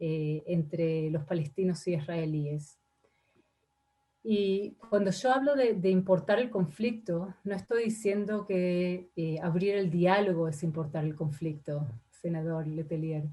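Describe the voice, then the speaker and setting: Very slow speech comes from a woman. Her pitch is fairly low. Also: ordinary pitch variation. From Argentina. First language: not Spanish; Spanish is her third language (speaking Spanish). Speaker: ambassador. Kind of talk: parliamentary committee testimony. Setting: senate committee session. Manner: halting, many fillers and repetitions.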